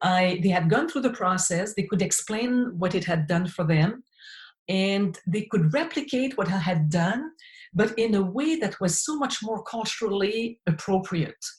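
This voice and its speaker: A somewhat breathy woman's voice at medium pitch, with lively intonation and a moderate pace. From Quebec, small town. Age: 60s. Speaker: occupational therapist and researcher. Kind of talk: interview conversation.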